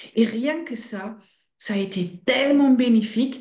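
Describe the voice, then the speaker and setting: A woman speaks at a very slow pace with a fairly high, somewhat breathy voice and lively intonation. Audible room echo surrounds her. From Belgium (Flemish) and Netherlands. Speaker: fasting centre director. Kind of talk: interview.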